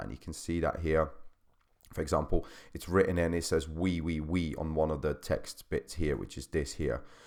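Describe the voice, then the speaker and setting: A man's very deep, low voice with vocal fry and monotone, flat intonation, over a quiet background. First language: not English. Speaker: personal trainer. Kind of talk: tutorial. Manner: halting. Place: home room. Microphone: studio mic.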